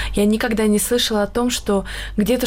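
Over noticeable background noise, a woman talks at a fairly quick pace. Her medium pitch stays monotone, with flat intonation. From Karelia, Russia. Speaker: beauty queen. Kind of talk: radio talk show discussion. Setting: studio.

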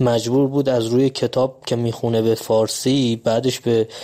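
A man speaks with a Kurdish accent at a medium pitch. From Iranian Kurdistan, later Tehran. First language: Kurdish (speaking Persian). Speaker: radio listener sharing experience. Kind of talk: personal testimony.

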